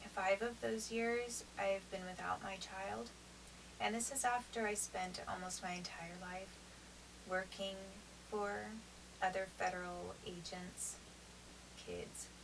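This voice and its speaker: Over noticeable background noise and audible room echo, a woman of medium pitch speaks at a very slow pace. She uses ordinary pitch variation and long, frequent pauses. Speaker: vlogger describing custody dispute. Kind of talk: unscripted monologue to camera. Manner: slower than usual, halting.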